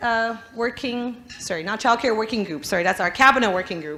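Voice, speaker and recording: A woman with a non-native accent speaks at a high pitch, with audible room echo and noticeable background noise. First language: not English. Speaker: politician. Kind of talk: conference speech.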